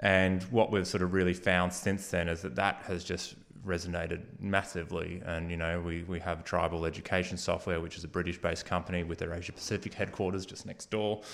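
With an Australian accent, a man speaks at a fairly quick pace with hardly any pauses, his very deep, low voice held in a flat monotone. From Australia, Geelong (Victoria). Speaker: innovation hub co-founder. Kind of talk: interview.

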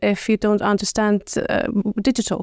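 A woman with an Icelandic accent, dry and close with no echo, on a very clean recording with a silent background. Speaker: government marketing officer. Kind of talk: interview. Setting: in a room in Reykjavik. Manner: halting.

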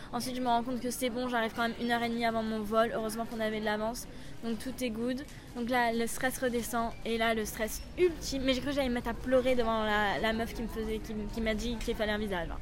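A woman with a fairly high pitch speaks at a very fast pace, with audible echo from the room. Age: 20s. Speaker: travel podcaster. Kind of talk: audio vlog. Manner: animated.

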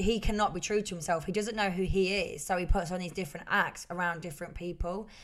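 Speaking very fast with hardly any pauses, a woman with an East Midlands accent keeps a medium pitch and fairly even intonation. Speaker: podcast co-host. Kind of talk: casual chat.

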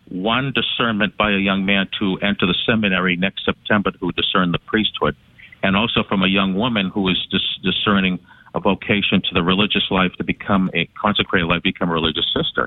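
Speaking at a fairly quick pace, a man uses a plain, everyday voice with a fairly low pitch and fairly even intonation. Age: 60s. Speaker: caller. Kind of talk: call-in conversation.

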